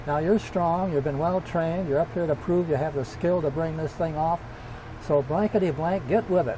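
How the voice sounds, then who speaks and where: Someone with an American accent talks at a fairly quick pace with ordinary pitch variation over noticeable background noise. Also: man. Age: 80s+. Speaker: World War II bomber pilot. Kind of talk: interview answer, personal war memories.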